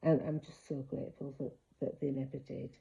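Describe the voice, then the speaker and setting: A woman's somewhat breathy voice. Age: 60s. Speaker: ex-member sharing her story. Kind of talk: personal testimony to camera. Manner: hesitant, many fillers.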